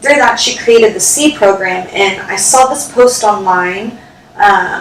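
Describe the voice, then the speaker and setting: A woman with a fairly high pitch and ordinary pitch variation, at a fairly slow pace over noticeable background noise. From Houston, Texas. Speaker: actress, writer, producer. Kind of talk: podcast interview answer.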